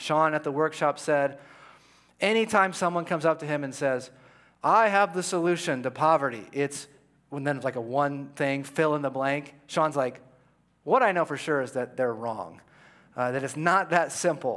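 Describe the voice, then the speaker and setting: This man's voice is fairly high-pitched, with ordinary pitch variation and a moderate pace. The recording is very clean, with a silent background. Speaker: pastor. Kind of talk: sermon. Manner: passionate, with an edge.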